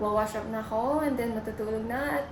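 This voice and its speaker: A woman with ordinary pitch variation, amid noticeable background noise and audible room echo. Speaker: travel vlogger. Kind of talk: travel vlog narration. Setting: bus terminal and bus; hotel room. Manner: casual, chatty; quiet, lowered voice.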